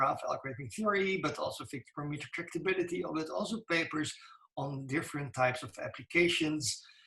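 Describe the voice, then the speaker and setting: This is a man talking. He keeps a fairly quick pace. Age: 60s. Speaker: computer science professor. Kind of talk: lecture. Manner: halting.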